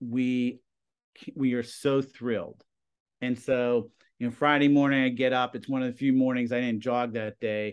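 This man talks at a moderate pace in a flat, monotone way against a quiet background. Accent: American. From Plum, Pennsylvania (Pittsburgh area). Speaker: high school TV production teacher. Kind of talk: casual interview.

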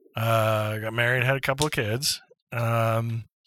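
A man's voice has a bright, sharp tone and a medium pitch, delivered with monotone, flat intonation. The recording is very clean, with a silent background. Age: 50s. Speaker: improv comedian and retired teacher. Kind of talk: casual interview chat.

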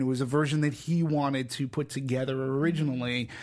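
An unremarkable speaking voice with an American accent keeps a fairly even intonation at a moderate pace. The recording is very clean, with a silent background. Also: man. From Massachusetts (Peabody, near Boston). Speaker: film podcast host. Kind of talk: casual chat.

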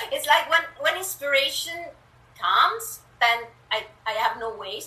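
There is noticeable background noise as a woman talks with an Italian accent. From Italy. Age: 50s. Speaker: author and spiritual guide. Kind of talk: interview. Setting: video call.

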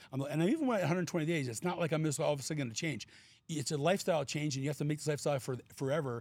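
Ordinary pitch variation marks a man's somewhat breathy voice. He speaks at a very fast pace. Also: fairly high pitch for a man. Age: 60s. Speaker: weight-loss client sharing his health journey. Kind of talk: casual interview testimony. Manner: halting, with frequent restarts.

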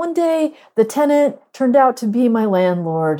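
A woman speaks with an American accent in a dark, mellow tone at a fairly high pitch and a fairly slow pace. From US Northeast. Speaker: poet and professor. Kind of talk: poetry reading.

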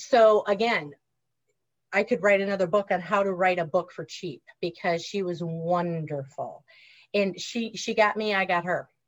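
A woman with a Wisconsin accent at medium pitch and moderate pace, ordinary pitch variation, on a very clean recording with a silent background. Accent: Wisconsin Upper Midwest. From Wisconsin, US. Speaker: former school counselor and author. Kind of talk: casual interview.

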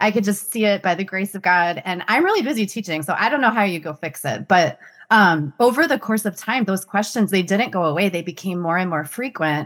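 A woman with an unremarkable speaking voice, medium pitch, lively intonation and hardly any pauses. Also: fairly quick pace. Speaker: author. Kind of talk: casual interview conversation.

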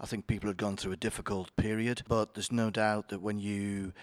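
A man in a Yorkshire accent, very fast, fairly low-pitched, dry and close with no echo, on a very clean recording with a silent background. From Yorkshire, northern England. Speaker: company chief executive. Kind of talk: interview.

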